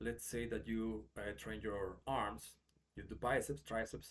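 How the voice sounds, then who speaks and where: Vocal fry runs through a man's fairly low voice, which carries a Mexican accent. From Mexico. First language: Spanish. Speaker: English teacher. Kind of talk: tutorial. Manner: casual with frequent fillers.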